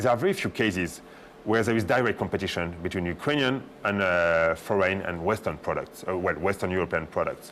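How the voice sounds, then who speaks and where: Speaking at a fairly quick pace, a man with a French accent uses a fairly low pitch and ordinary pitch variation. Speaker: diplomat. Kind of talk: talk show interview. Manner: hesitant, many fillers.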